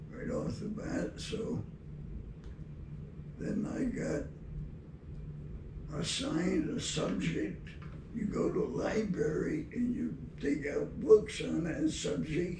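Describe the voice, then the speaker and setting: Against noticeable background noise, a man speaks at a very slow pace. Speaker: war veteran. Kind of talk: interview answer. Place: office.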